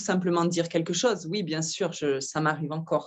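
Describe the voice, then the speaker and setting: A woman with a southern French accent speaks in a fairly low pitch. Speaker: wellness massage practitioner. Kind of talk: interview, personal sharing. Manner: halting, hesitant.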